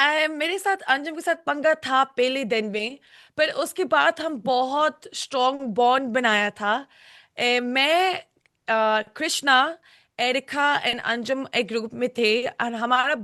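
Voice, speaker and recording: A woman speaks in a raised, projected voice at a high pitch with a bright, sharp tone. The sound is dry and close with no echo, and the background is quiet. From United Kingdom. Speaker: reality show contestant. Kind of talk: interview. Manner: halting.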